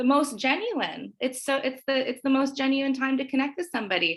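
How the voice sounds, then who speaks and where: A woman's high-pitched voice with a Canadian accent at a moderate pace. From western Canada, Nelson BC. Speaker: prospective student. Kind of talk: casual interview. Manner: animated.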